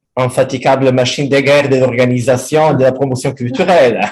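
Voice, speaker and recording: With a strong Italian accent, a man speaks at medium pitch with fairly even intonation. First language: Italian (speaking French). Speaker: history professor. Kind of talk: academic talk, unscripted. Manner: halting.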